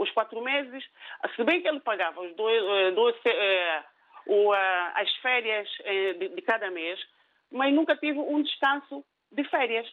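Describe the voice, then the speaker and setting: A woman with a fairly high pitch talks fairly slowly with lively intonation, leaving long, frequent pauses. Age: 50s. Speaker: caller, cook. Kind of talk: phone-in story. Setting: phone call.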